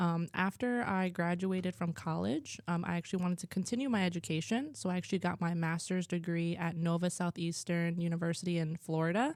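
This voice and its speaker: A woman speaks with a New Jersey accent. Her pace is fairly quick, with hardly any pauses. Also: fairly low pitch for a woman, ordinary pitch variation. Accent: New Jersey American English. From New Jersey (Warren), US. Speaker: school culture coordinator. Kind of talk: interview. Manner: hesitant, many fillers.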